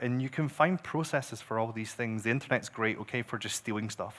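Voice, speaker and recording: The speaker has a Scottish accent and talks at a very fast pace. The recording is very clean, with a silent background. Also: man. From Scotland. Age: 40s. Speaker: growth marketer. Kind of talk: conference talk.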